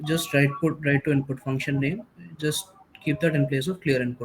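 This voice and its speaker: Music plays in the background as a man speaks at a fairly high pitch with ordinary pitch variation. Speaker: workshop instructor. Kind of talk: tutorial. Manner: fast.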